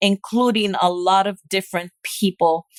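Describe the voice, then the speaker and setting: Medium-pitched female voice with fairly even intonation, dry and close with no echo. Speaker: physician. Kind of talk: interview.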